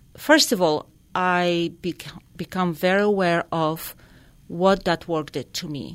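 Very slow in pace, a woman with a Polish accent speaks at medium pitch on a very clean recording with a silent background. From Poland. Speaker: equine therapy life coach. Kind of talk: radio interview.

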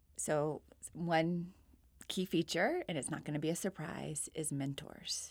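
In an American accent, a woman speaks with an ordinary speaking voice, fairly low pitch, and fairly even intonation. She goes at a fairly slow pace on a very clean recording with a silent background. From Florida and Virginia, US. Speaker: education professor and associate dean. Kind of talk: interview.

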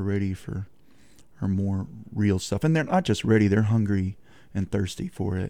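With a Texan accent and a dark, mellow tone, a man speaks at a fairly low pitch and moderate pace with ordinary pitch variation on a very clean recording with a silent background. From Texas. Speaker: singer-songwriter. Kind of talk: radio interview. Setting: studio.

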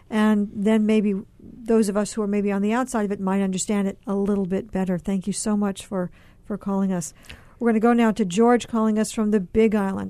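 Over a quiet background, a woman speaks at medium pitch with a dark, mellow tone and monotone, flat intonation. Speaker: radio talk show host. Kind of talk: call-in public affairs discussion.

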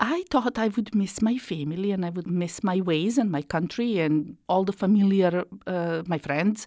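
In a Slovenian accent, a woman speaks at a moderate pace with ordinary pitch variation against a quiet background. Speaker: immigrant support worker. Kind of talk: testimony.

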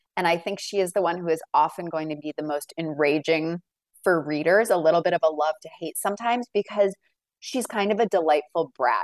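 An unremarkable speaking voice, a woman's fairly low one, moves at a fairly quick pace with a dry, close sound and no echo. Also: ordinary pitch variation. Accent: American. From Massachusetts, north of Boston. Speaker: book editor and novelist. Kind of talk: interview.

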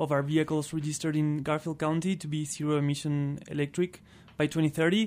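With an Argentine accent, a man speaks at a moderate pace and fairly high pitch on a very clean recording with a silent background. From Argentina. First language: Spanish. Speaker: transportation program manager at energy nonprofit. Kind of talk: radio interview.

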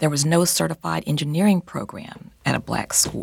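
In a very clean recording with a silent background, a woman speaks at a moderate pace with vocal fry and very wide pitch swings. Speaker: folklorist. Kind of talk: interview.

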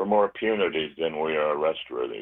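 A man's intonation is lively as he speaks fairly quickly. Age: 80s. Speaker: gardener, Army veteran. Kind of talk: radio interview.

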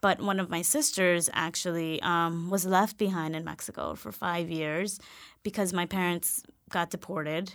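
An ordinary speaking voice with an American accent moves at a moderate pace on a very clean recording with a silent background. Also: woman, fairly low pitch for a woman, fairly even intonation. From New York, South Bronx. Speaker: education nonprofit director. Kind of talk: interview.

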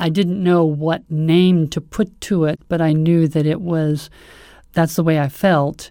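A woman speaks in a monotone with flat intonation, her tone dark and mellow and her pitch fairly low. The recording is very clean, with a silent background. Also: fairly slow pace, very even loudness. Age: 60s. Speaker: retired government worker. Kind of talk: interview. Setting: in person.

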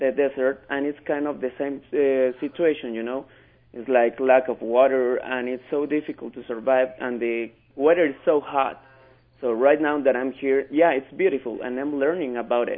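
A man with a Spanish accent speaks at a medium pitch and a moderate pace, his intonation fairly even. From Mexico City, Mexico. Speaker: ESL student. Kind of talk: radio interview. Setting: phone call.

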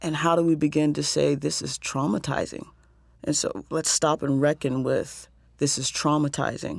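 The voice has vocal fry and an American accent, moving at a moderate pace with fairly even intonation in a very clean recording with a silent background. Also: woman, very deep, low pitch for a woman. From US South. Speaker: social worker and poet, nonprofit co-founder. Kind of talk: radio interview. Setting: studio.

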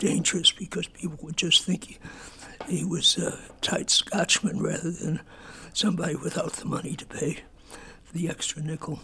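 A man whispering at a moderate pace with long, frequent pauses, amid noticeable background noise. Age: 90s. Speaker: folk musician and songwriter. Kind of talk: interview.

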